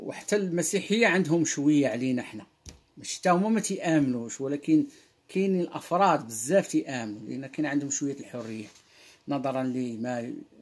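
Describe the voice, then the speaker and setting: With a Moroccan accent, a man speaks at a moderate pace with fairly high pitch, lively intonation and big swings in loudness. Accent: Moroccan Arabic (Darija) with French words. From Morocco. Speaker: online religious commentator. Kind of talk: monologue lecture on Quran verses. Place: home room. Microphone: webcam.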